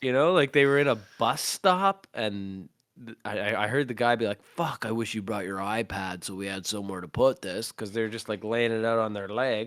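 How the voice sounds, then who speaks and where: A man with a normal speaking voice and a Canadian accent, moderate pace, hardly any pauses, ordinary pitch variation, big swings in loudness, and a dry, close sound with no echo. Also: medium pitch for a man. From Canada. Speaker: vocalist and podcast host. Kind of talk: casual chat.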